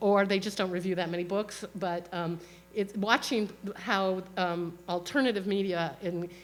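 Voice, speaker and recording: With fairly even intonation, a woman speaks at a fairly slow pace in a medium pitch. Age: 60s. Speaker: author and historian. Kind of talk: book talk. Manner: halting with fillers.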